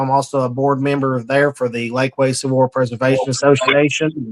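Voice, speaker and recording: At a fairly quick pace, a man with an East Tennessee accent speaks in a medium pitch. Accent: Southern US, East Tennessee. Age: 30s. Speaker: heritage group local leader. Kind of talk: interview. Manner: halting with fillers.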